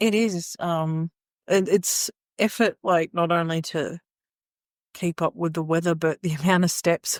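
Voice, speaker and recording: Speech comes at a fairly slow pace in an Australian accent, with fairly even intonation and long, frequent pauses. The very clean recording has a silent background and a dry, close sound with no echo. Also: woman, fairly low pitch for a woman. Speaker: podcast co-host. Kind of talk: casual chat. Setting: in person at an Airbnb living room.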